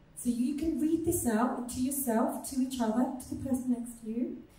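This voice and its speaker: A woman's dark, mellow voice at a fairly slow pace, with audible room echo. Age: 40s. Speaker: nutrition coach. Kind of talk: live talk to an audience.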